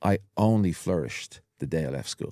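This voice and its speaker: Very deep and low, a man's dark, mellow voice comes through on a very clean recording with a silent background. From Ireland, Dublin (Walkinstown). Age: 50s. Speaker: hypnotherapist. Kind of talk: casual chat.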